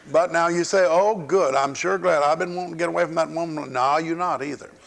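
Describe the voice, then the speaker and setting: A man's high, animated voice in a Southern US accent at a very fast pace, over noticeable background noise. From US South. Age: 60s. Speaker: pastor. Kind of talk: sermon.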